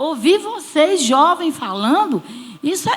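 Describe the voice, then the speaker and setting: A woman's voice with very wide pitch swings, against noticeable background noise. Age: 60s. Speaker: church small-group leader. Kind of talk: church panel testimony.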